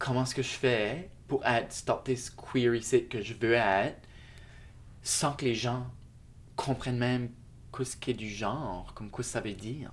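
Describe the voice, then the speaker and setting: A man with a mid-range pitch talks fairly slowly, leaving long, frequent pauses and keeping his intonation fairly even. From Shediac, New Brunswick (Acadia). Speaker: multidisciplinary artist. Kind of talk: interview. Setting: hotel room.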